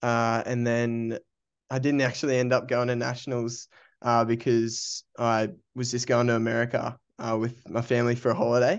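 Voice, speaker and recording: A medium-pitched man with an Australian accent, flat monotone intonation and a moderate pace, against a quiet background. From Australia, Brisbane. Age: 20s. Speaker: amateur runner. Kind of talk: casual interview.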